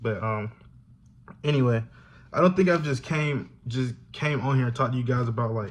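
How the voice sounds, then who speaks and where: A somewhat breathy man with an American accent talks at medium pitch with ordinary pitch variation and long, frequent pauses. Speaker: YouTuber, college student. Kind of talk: casual vlog talk to camera. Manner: fast.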